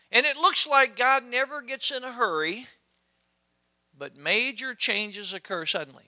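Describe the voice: Bright and sharp in tone, a man speaks at an extremely high pitch. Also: ordinary pitch variation, fairly slow pace.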